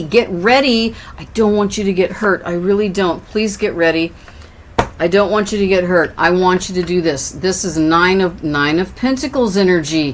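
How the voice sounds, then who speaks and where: A woman talks at a moderate pace, her pitch varying in an ordinary way, while noticeable background noise is present. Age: 60s. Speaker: tarot reader. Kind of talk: tarot reading. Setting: indoors with windows open.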